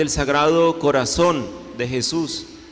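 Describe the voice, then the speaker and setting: Over noticeable background noise and audible room echo, a man with a fairly high voice speaks very slowly with ordinary pitch variation. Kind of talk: sermon.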